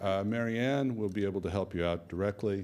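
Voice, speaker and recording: Fairly quick in pace, a man speaks at a very deep, low pitch. His intonation is fairly even. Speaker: executive director of a health alliance, conference host. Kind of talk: conference welcome address. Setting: conference room with live and online audience. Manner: formal.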